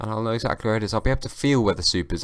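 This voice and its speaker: In a British accent, a man talks with fairly even intonation. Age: young. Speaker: comedian and podcast host. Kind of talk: casual solo podcast monologue. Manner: slurring, halting with repetitions.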